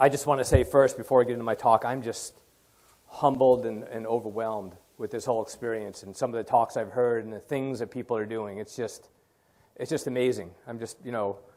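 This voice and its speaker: A man with an American accent talks at a fairly quick pace and a medium pitch. His loudness swings widely while his intonation stays fairly even. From Long Island, New York. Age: 60s. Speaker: oyster farmer. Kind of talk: conference talk. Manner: halting.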